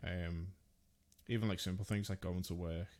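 In a very clean recording with a silent background, a man with an English accent speaks at a very deep, low pitch. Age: 30s. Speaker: podcast host. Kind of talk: casual chat.

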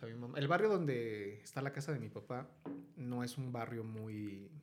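A man speaks with a central Mexican accent at a medium pitch and a moderate pace. His pitch varies in an ordinary way, and room echo is audible. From Mexico, Hidalgo (Tulancingo area). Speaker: writer. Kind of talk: casual chat. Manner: animated.

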